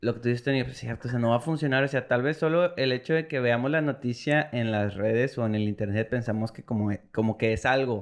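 Barely pausing, a man races along at a very fast pace, his medium-pitched voice showing ordinary pitch variation. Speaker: podcast co-host. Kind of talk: casual chat.

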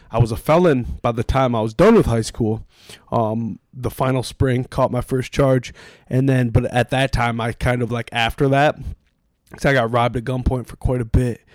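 A plain, everyday voice, a man at a moderate pace with fairly even intonation, dry and close with no echo on a very clean recording with a silent background. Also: medium pitch for a man. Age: 30s. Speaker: podcast guest, influencer. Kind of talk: casual chat. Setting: in person, recording at guest's place.

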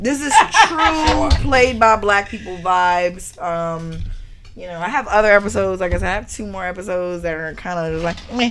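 Over noticeable background noise, a woman speaks at a medium pitch and moderate pace with lively intonation and big swings in loudness. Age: 30s. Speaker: podcast host. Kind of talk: casual chat. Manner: animated.

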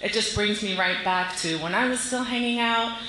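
The speaker has an American accent and talks at a fairly quick pace. Room echo is audible, and there is noticeable background noise. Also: woman. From Silver Spring, Maryland. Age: 30s. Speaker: audience member. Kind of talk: audience question.

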